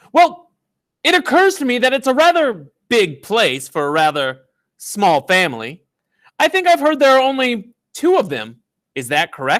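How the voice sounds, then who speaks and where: In a put-on character voice, a man speaks breathily at an extremely high pitch and a moderate pace. The recording is very clean, with a silent background. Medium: read story. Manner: airy, evasive.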